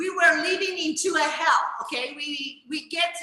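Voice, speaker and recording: Speaking in a raised, projected voice, a woman with an Italian accent goes at a very slow pace. Audible room echo fills the recording. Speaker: chef. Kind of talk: book presentation talk. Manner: halting.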